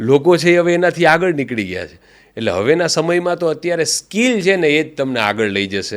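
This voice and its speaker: A man's voice swings very widely in pitch in a very clean recording with a silent background. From Saurashtra, Gujarat. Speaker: radio jockey and cricket commentator. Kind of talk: interview answer.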